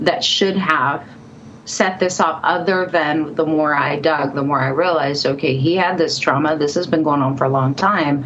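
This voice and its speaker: A woman with an American accent, very deep and low in pitch with ordinary variation, at a moderate pace amid audible room echo and noticeable background noise. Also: very even loudness. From California. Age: 50s. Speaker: psychic and author. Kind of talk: interview storytelling.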